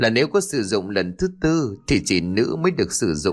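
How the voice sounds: Reading aloud in a natural reading voice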